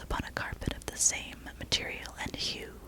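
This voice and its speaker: Someone whispers at a moderate pace while noticeable background noise continues. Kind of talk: whisper ASMR reading of a classic horror story. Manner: whispered.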